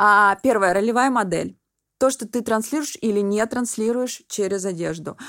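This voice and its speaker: Here a woman has an ordinary speaking voice, fairly high, with ordinary pitch variation. The recording is very clean, the background silent. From Russian Far East, Vladivostok. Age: 30s. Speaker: personal stylist. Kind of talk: podcast interview.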